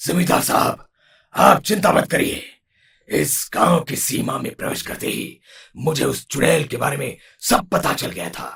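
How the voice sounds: In a cartoonish character voice, a man sounds raspy, with a fairly high pitch and a moderate pace.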